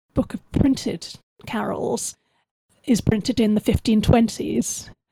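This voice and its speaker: A woman speaks with a southern English accent in a dark, mellow tone. The sound is dry and close, with no echo. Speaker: musician and historian. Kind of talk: interview.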